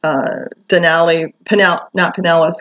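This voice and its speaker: A woman with an American accent and a fairly low pitch. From Michigan, US. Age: 60s. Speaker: vlogger. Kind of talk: personal testimony monologue. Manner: halting, many fillers.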